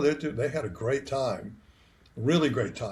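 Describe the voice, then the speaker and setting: Somewhat breathy and fairly high-pitched, a man speaks at a moderate pace with ordinary pitch variation. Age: 70s. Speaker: retired band director. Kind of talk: interview. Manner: animated.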